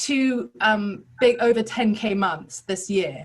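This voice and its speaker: Somewhat breathy woman's voice at a fairly high pitch. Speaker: business coach, former academic. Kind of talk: testimony. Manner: animated.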